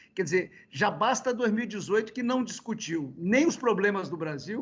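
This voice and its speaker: Noticeable background noise behind a high-pitched male voice. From Brazil, Espírito Santo (Caparaó, near Minas Gerais border). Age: 60s. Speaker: former state governor and politician. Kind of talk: interview. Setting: video call. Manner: hesitant with many fillers.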